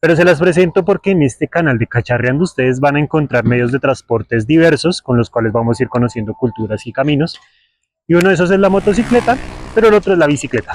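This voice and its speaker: A man's fairly high voice at a very fast pace, with very wide pitch swings, very even loudness, and a dry, close sound with no echo. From Colombia, Bogotá. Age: 20s. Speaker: travel and local history vlogger. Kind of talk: vlog presentation to camera. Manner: casual, conversational.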